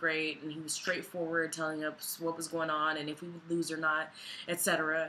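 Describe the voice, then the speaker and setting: A woman talks at a fairly quick pace in a fairly low pitch. Background noise is noticeable. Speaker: vlogger. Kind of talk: personal vlog.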